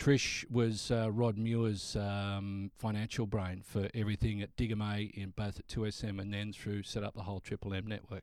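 The speaker uses an Australian accent and a monotone, flat intonation, at a moderate pace with hardly any pauses. The recording is very clean, with a silent background. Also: man, fairly low pitch for a man. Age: 50s. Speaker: radio announcer. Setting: studio. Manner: cheerful, warm.

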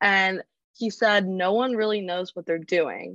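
With an American accent, a woman in an ordinary speaking voice talks at a moderate pace and medium pitch, the sound dry and close with no echo over a quiet background. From North Carolina, Charlotte. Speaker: recent graduate. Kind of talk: interview. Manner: casual, many fillers.

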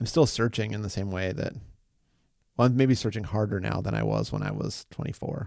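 A man with a normal speaking voice, fairly low pitch, ordinary pitch variation and a fairly quick pace, in a very clean recording with a silent background. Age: 40s. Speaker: podcast host and musician. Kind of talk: casual interview conversation; podcast introduction. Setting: office.

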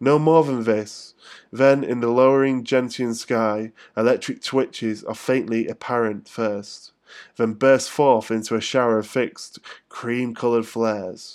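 A man with a London accent speaks at a fairly slow pace, his medium pitch held to fairly even intonation, on a very clean recording with a silent background. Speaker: podcast host. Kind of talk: casual solo podcast monologue, rambling chat; poem performed, read aloud with pauses and stumbles over names. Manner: rambling, hesitant, full of fillers; self-deprecating, informal, swearing.

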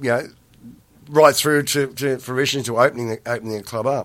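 A man speaks at a fairly quick pace with an Australian accent. The recording is very clean, with a silent background. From Australia, New South Wales (Parkes, then Penrith). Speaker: former nightclub owner. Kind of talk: interview. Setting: studio. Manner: halting, many fillers and repetitions.

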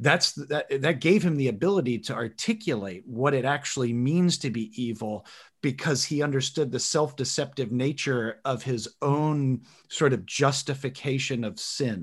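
A man's fairly high, somewhat breathy voice with ordinary pitch variation, on a very clean recording with a silent background. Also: moderate pace. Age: 30s. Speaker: podcast host. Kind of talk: casual chat.

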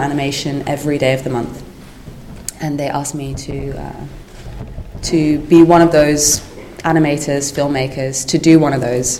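A woman with a very deep, low pitch at a moderate pace, her intonation monotone and flat, amid noticeable background noise and audible room echo. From Netherlands. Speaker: animator and teacher. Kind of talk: interview.

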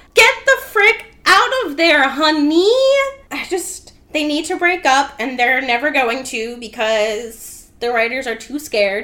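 Her voice raised and projected, a woman speaks at a high pitch with very wide pitch swings. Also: fairly slow pace. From Rhode Island, US. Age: 20s. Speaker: podcast guest, fandom candle maker. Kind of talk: casual chat; episode recap.

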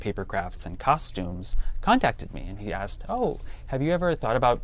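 This is an ordinary speaking voice with an American accent. It moves at a fairly quick pace. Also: man. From Wisconsin. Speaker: cartoonist, graphic novel author. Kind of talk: interview.

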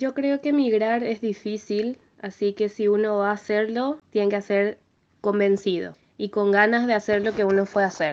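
A woman speaks in a plain, everyday voice at medium pitch and a moderate pace. Her intonation is fairly even and her loudness very even. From Paraguay (Asunción). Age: 20s. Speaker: music student and piano teacher. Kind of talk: interview testimony.

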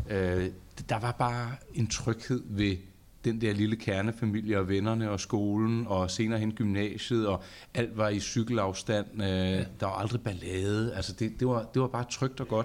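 In a very clean recording with a silent background, a man speaks at a fairly low pitch and a fairly slow pace. His intonation is monotone and flat, and his loudness is very even. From Charlottenlund, north of Copenhagen, Denmark. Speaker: podcast host. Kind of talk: casual chat. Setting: studio.

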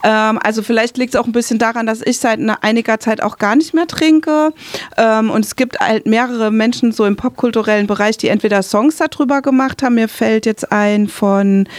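Over noticeable background noise, a woman with a fairly high pitch and ordinary pitch variation talks at a moderate pace, the sound dry and close with no echo. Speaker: radio host and interviewer. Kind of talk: interview conversation. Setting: radio studio.

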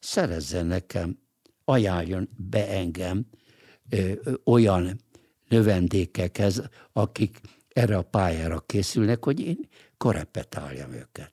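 A man with a very deep, low pitch and a dark, mellow tone talks at a very slow pace with long, frequent pauses and lively intonation. The very clean recording has a silent background and a dry, close sound with no echo. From Hungary. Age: 80s+. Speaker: lawyer and political writer. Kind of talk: interview. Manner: halting, frequent filler hesitations.

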